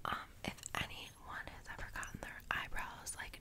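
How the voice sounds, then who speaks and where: Someone whispers, soft-spoken and at a fairly slow pace, over loud background noise. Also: woman. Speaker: beauty vlogger. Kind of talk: casual vlog chat. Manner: soft close ASMR whisper. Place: home room. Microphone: earbuds.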